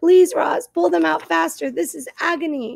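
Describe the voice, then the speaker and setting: A woman's put-on character voice, raspy and high-pitched, at a moderate pace. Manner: pleading, in agony.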